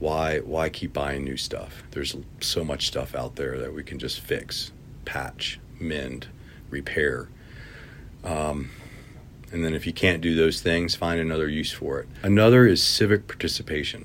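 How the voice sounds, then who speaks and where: A man with an American accent, very deep and low in pitch, with vocal fry, ordinary pitch variation and a fairly slow pace. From Virginia, semi-rural. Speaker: community bike activist. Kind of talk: interview.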